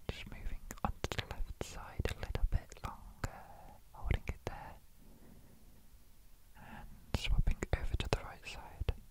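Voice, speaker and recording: Whispering at a fairly slow pace, a man leaves long, frequent pauses, his loudness swinging widely over noticeable background noise. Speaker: ASMR artist. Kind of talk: ASMR roleplay. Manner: whispered.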